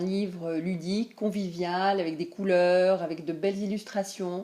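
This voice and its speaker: With a dark, mellow tone, a woman speaks at a medium pitch and a fairly slow pace in a flat, monotone intonation. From Tunisia. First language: Tunisian Arabic (speaking French). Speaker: language teacher. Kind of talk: promotional presentation. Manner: hesitant, many fillers.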